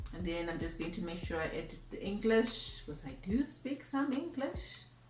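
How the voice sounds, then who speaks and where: A woman speaks at a moderate pace with a Zimbabwean accent. There is audible room echo and music in the background. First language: Shona. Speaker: YouTuber. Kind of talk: tutorial. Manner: casual.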